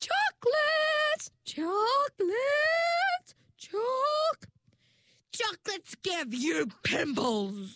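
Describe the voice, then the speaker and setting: Putting on a sing-song character voice at an extremely high pitch, a woman goes very slowly with long, frequent pauses, and the sound is dry and close with no echo. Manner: sing-song, teasing.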